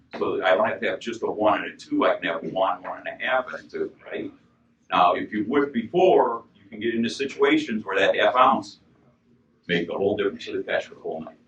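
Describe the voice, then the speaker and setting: There are big swings in loudness as a man talks. He keeps a fairly quick pace. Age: 60s. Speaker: fishing expert. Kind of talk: seminar talk to audience. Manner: casual.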